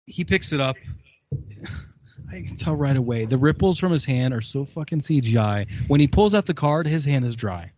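A man speaks at a moderate pace in a medium-pitched, somewhat breathy voice with lively intonation. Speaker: guest reviewer.

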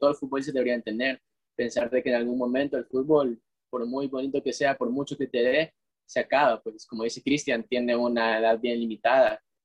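A man's medium pitch at a moderate pace, with monotone, flat intonation. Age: 20s. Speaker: footballer and business student. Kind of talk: casual chat.

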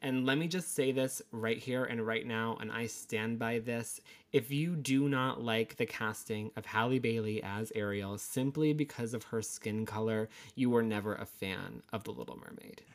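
Recorded very cleanly over a silent background, a man with an American accent talks at a moderate pace and medium pitch in an unremarkable speaking voice with ordinary pitch variation. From Connecticut, US. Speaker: podcast co-host, makeup artist. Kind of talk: casual chat.

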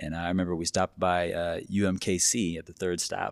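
A man with a Midwestern American accent speaks in a very deep, low pitch in a very clean recording with a silent background. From small-town Kansas, then Wichita. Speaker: pharmacist. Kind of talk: casual chat.

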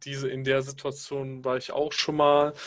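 The speech moves at a very slow pace in a monotone, flat intonation. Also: man. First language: Pashto (speaking German). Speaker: podcast co-host. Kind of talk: casual chat.

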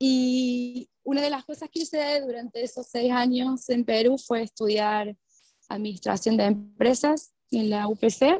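A woman's high, dark, mellow voice at a fairly slow pace with ordinary pitch variation, dry and close with no echo. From Argentina, Córdoba. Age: 30s. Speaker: permaculture practitioner. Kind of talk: casual interview chat. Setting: remote call.

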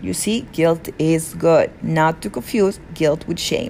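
Through noticeable background noise, a woman with a Peruvian accent talks at a fairly slow pace with lively intonation. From Peru (rural south). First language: Spanish. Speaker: podcast host. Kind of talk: solo self-help monologue.

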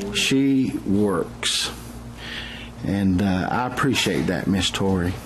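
Noticeable background noise surrounds a man with a fairly low pitch. He speaks at a very slow pace, with very wide pitch swings. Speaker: missionary preacher. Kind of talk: sermon.

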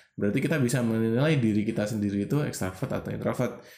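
The speaker is a man. His intonation is lively. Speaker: podcast co-host. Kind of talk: casual chat.

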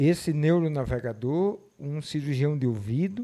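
Dark and mellow in tone, a man's voice moves with ordinary pitch variation. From Mossoró, Rio Grande do Norte, Brazil (Northeast). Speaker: marketing and sales professional. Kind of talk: podcast interview.

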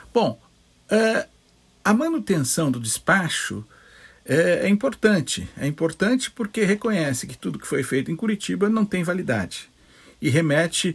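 With lively intonation, this man's voice sits at a high pitch. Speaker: lawyer. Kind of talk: interview, legal analysis.

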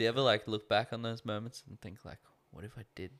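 Speaking at a moderate pace and medium pitch, a man has an Australian accent. The recording is very clean, with a silent background. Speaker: podcast co-host. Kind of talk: casual chat.

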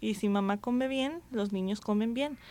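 A woman talks at a moderate pace with ordinary pitch variation in an ordinary speaking voice. The recording is very clean, with a silent background. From Jalisco, Mexico. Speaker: radio host and physician. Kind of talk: radio talk show.

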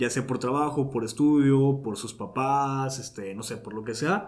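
Heard with audible room echo, a man of medium pitch talks at a fairly slow pace with ordinary pitch variation. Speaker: podcast host. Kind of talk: casual chat. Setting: home recording studio.

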